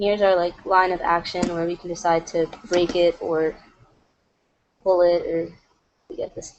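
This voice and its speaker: A woman's monotone, flat intonation with big swings in loudness. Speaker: animator. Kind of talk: tutorial. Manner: casual, lots of fillers; fast.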